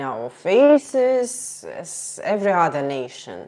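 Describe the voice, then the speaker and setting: The speaker has a strong Russian accent and very wide pitch swings. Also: woman. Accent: Russian accent, heavy. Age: 30s. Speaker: streamer. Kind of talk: casual live stream chat. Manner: halting.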